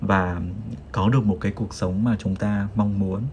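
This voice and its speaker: Here a man speaks at a moderate pace with a fairly low pitch. His voice is somewhat breathy. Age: 20s. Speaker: podcast host, office worker. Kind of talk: casual chat.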